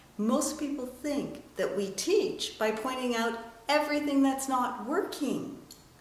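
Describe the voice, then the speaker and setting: A woman's high-pitched voice at a fairly slow pace with lively intonation. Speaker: international speaker, author and storyteller; communication coach. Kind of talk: business advice talk to camera. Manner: energetic, enthusiastic.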